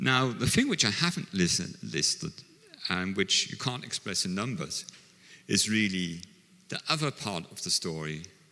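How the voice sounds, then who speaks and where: At a fairly slow pace, a man speaks with a fairly low pitch, a bright, sharp tone and very wide pitch swings. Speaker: conference presenter. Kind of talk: conference talk. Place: hall. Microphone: handheld.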